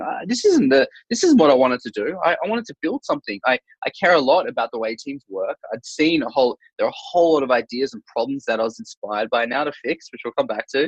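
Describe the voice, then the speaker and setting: A man with an Australian accent talks at a very fast pace. His pitch swings very widely, and the sound is dry and close with no echo. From Australia, Sydney. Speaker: startup founder and author. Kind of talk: podcast interview. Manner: hesitant, many fillers and repetitions.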